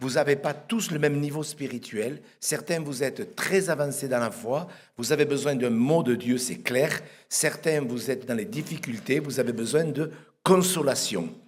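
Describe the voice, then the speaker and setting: A man speaks at a fairly slow pace with a fairly high pitch and ordinary pitch variation, and audible room echo surrounds his voice. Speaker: pastor. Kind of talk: sermon. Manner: soft-spoken; halting, repeats words.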